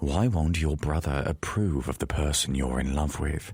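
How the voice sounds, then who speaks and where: A put-on character voice delivers the lines at a moderate pace, with ordinary pitch variation and very even loudness. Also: man, very deep, low pitch for a man. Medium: read story.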